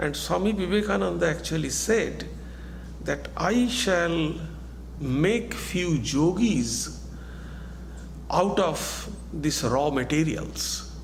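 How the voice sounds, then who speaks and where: Very slow male speech with long, frequent pauses and very even loudness, plus audible room echo and noticeable background noise. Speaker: monk and spiritual teacher. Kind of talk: lecture.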